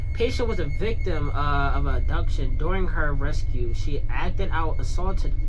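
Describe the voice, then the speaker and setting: A woman talks at a moderate pace in a room with audible echo and noticeable background noise. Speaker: gaming youtuber. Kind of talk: gameplay commentary while reading game text aloud. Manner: halting, repeats words.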